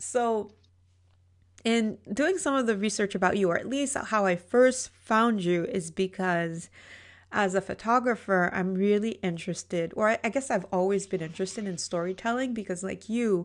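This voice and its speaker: A woman with a non-native accent speaks at medium pitch with ordinary pitch variation. The background is quiet. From Caribbean. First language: not English. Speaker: podcast host and photographer. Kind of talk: interview conversation. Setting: podcast.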